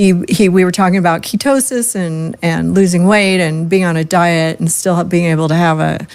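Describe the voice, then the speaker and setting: Here is a woman with a normal speaking voice and a fairly low pitch. She talks at a moderate pace with ordinary pitch variation. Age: 60s. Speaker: podcast host. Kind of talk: casual chat.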